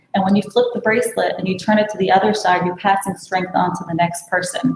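Someone with an American accent talks with fairly even intonation. There is light background noise and audible room echo. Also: woman. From Brooklyn, New York; New York. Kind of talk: sales pitch. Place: home room. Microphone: video call.

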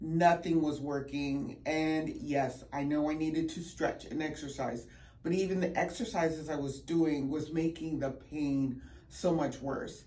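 A woman with an American accent speaks at a fairly slow pace in a very deep, low pitch, her tone dark and mellow and her intonation fairly even. Audible room echo surrounds her voice. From Virginia, Richmond. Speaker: patient giving testimonial. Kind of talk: testimony.

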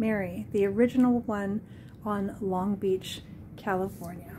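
With a somewhat breathy voice and ordinary pitch variation, a woman speaks over light background noise. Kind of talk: casual room tour narration. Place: home room. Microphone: phone near.

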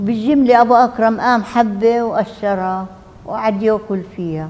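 A woman speaks very slowly in a Palestinian accent. Her pitch is fairly high, with ordinary variation. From Palestine, al-Zeeb near Akka. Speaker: refugee and survivor. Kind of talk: testimony. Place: meeting room. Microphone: lapel.

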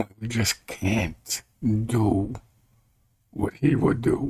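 Somewhat breathy, a man talks with ordinary pitch variation. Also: quiet background. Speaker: evangelist. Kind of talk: informal bible study talk. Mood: earnest, calm preaching. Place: home room. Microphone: webcam.

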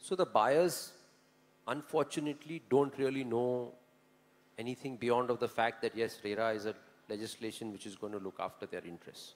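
A man talks at a moderate pace with ordinary pitch variation. His loudness swings widely. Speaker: panelist. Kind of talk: panel discussion answer. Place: hall. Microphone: handheld.

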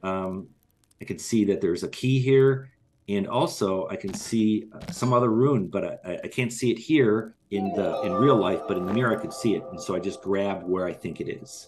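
With music in the background, a man speaks at a moderate pace and medium pitch with lively intonation. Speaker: game developer. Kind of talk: gameplay walkthrough. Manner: halting, many fillers.

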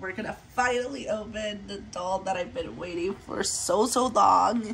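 A woman with a medium pitch and a fairly bright tone speaks with vocal fry and ordinary pitch variation, faint background noise behind her.

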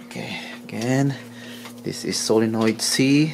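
Against faint background noise, a man speaks at a fairly slow pace in a medium pitch, with vocal fry, a slightly mellow tone, and ordinary pitch variation.

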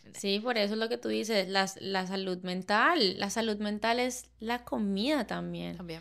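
Against a quiet background, a woman talks at a moderate pace in a Cali Colombian accent. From Colombia, Cali. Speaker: chef and food blogger; food blogger. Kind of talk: casual chat. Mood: warm, reflective. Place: studio. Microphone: studio mic.

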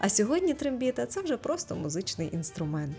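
A woman speaks at a moderate tempo over background music. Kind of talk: light humorous documentary narration.

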